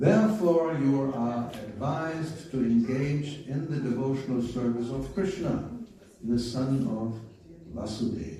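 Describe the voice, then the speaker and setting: Over noticeable background noise and audible room echo, a man speaks at a fairly slow pace. His medium-pitched voice has lively intonation. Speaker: spiritual teacher. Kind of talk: scripture reading.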